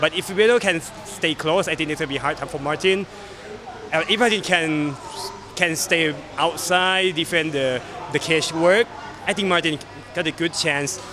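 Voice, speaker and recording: A high-pitched man at a moderate pace, with long, frequent pauses, ordinary pitch variation, and noticeable background noise. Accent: Thai. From Thailand. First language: Thai. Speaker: MMA fighter. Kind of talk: interview. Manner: halting, frequent repetitions. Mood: relaxed, smiling. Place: hall.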